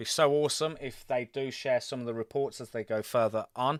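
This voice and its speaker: In a Birmingham accent, a man with a medium pitch and ordinary pitch variation talks at a fairly quick pace, on a very clean recording with a silent background and a dry, close sound with no echo. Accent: British, Birmingham. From England, Birmingham. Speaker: gaming livestreamer. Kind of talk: live gameplay commentary. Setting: live stream. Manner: casual, chatty.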